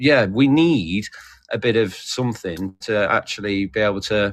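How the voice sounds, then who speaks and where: With a British accent, a man speaks using lively intonation. The background is quiet. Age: 40s. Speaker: livestream participant. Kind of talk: casual discussion. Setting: livestream group call.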